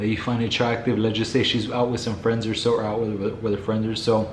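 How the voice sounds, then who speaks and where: A man with a medium-pitched voice is heard amid audible room echo and noticeable background noise. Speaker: dating advice youtuber. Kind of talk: casual vlog monologue. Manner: calm.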